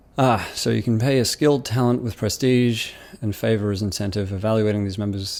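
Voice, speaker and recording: This man speaks with an Australian accent. His pitch varies in an ordinary way. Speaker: YouTuber. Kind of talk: casual commentary reading comments. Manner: hesitant, many fillers.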